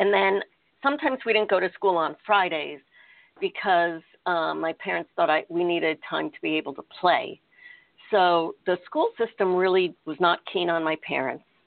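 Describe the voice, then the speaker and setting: An ordinary speaking voice from a woman with an American accent, fairly low pitch, ordinary pitch variation and a moderate pace. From United States. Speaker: innovation and strategy consultant. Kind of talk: interview.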